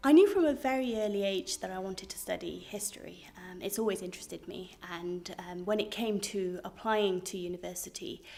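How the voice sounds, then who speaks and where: A woman speaks with a dark, mellow tone at a fairly quick pace. Her loudness swings widely, and she barely pauses. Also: medium pitch for a woman, ordinary pitch variation. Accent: Cardiff. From Wales, Cardiff. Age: 20s. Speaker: PhD student. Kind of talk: interview monologue. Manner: hesitant, with fillers and repetitions.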